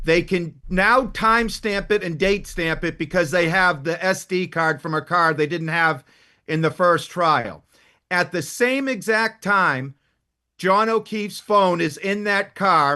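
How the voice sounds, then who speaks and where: In a quiet background, a man with a strong Boston accent speaks fairly slowly in a high pitch, with a bright, sharp tone and ordinary pitch variation. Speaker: defense attorney. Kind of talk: heated debate. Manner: formal.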